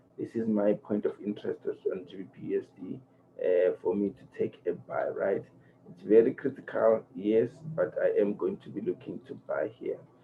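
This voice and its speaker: The speaker is a man keeping a moderate pace. His volume rises and drops by big amounts. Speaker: forex trading educator. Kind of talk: tutorial. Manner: low-energy, quiet; halting, many fillers.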